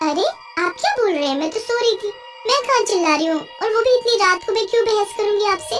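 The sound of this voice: Through clear background noise, a woman rattles off lines at a very fast pace in a cartoonish character voice with an extremely high pitch.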